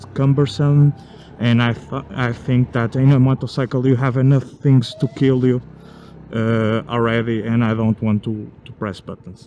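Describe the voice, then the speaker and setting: A man with a non-native accent speaks at a medium pitch, his intonation fairly even. Noticeable background noise sits behind him. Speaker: motorcycle vlogger. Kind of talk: product review. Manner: halting, many fillers.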